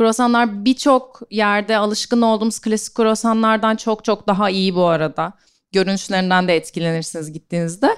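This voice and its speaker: This is an ordinary speaking voice at a moderate pace. The recording is very clean, with a silent background. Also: woman. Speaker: event moderator. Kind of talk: live interview. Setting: stage with audience.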